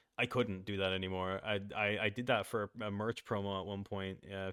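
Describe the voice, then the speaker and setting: His pitch sits very deep and low. This man's delivery stays monotone and flat throughout. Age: 20s. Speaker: animator and voice actor. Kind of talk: casual interview chat.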